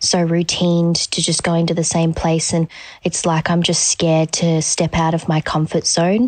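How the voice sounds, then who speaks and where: An Australian woman with a fairly low pitch speaks in a flat, monotone way, with an Australian accent. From Gold Coast, Australia. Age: 20s. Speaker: listener asking for advice. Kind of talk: voice memo. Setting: recorded voice memo.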